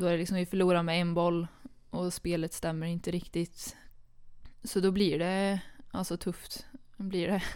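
A woman speaks at a fairly low pitch in a monotone, flat way. She leaves long, frequent pauses. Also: moderate pace. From Sweden, Karlstad (Värmland). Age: 20s. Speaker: handball player. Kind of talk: casual interview. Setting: studio, two meters apart.

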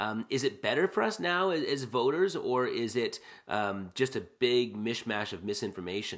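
A man with a Canadian accent speaks at a moderate pace in a medium pitch, making very wide pitch swings. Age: 40s. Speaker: podcast host. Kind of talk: casual conversation.

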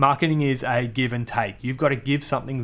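Talking very fast, a man comes through with an Australian accent. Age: 30s. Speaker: marketing podcast host. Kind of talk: solo podcast Q&A. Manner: casual, energetic.

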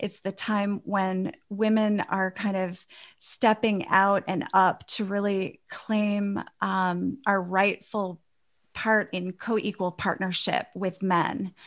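A woman speaks at medium pitch and a very slow pace, her intonation monotone and flat. The recording is very clean, with a silent background. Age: 50s. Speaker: women's empowerment coach. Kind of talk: interview.

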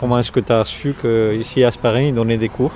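Noticeable background noise fills the recording. Through it comes a male voice pitched in the middle range. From Latvia. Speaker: immigrant worker. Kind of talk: interview. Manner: halting.

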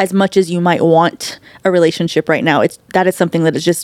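A woman with an unremarkable speaking voice, fairly low pitch and a fairly quick pace, in a dry, close sound with no echo. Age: 30s. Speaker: ministry leader. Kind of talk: casual chat.

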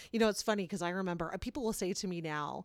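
A woman with a Canadian accent speaks in an animated tone, her medium pitch varying in an ordinary way. The recording is very clean, with a silent background. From Kitchener-Waterloo, Ontario, Canada. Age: 40s. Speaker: podcast host. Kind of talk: casual chat.

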